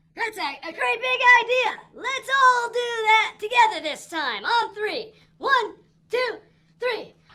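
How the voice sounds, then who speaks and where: An extremely high-pitched, cartoonish character voice talks at a fairly slow pace. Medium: puppet. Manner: eager.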